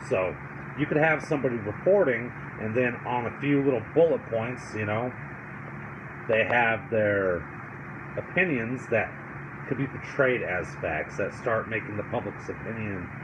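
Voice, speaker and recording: A man's medium-pitched voice at a moderate pace, with ordinary pitch variation, long and frequent pauses, audible room echo and noticeable background noise. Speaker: political commentary vlogger. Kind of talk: casual commentary monologue. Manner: stuttering, halting with fillers.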